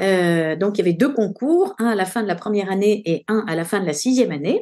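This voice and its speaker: With lively intonation, a woman speaks at medium pitch and a fairly quick pace. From France (Paris). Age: 60s. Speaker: nutrition doctor. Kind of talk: interview testimony. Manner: hesitant, many fillers.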